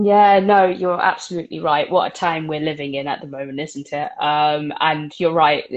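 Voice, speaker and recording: Moderate pacing in a British accent, with hardly any pauses and fairly even intonation. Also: woman, very deep, low pitch for a woman. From Britain. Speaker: book podcast host. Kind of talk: casual book discussion. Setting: live video stream. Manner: hesitant, many fillers.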